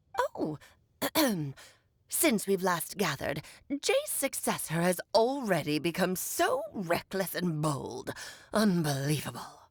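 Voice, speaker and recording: A female-sounding voice at medium pitch performs a put-on character voice. It moves at a fairly slow pace with long, frequent pauses. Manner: haughty, scornful.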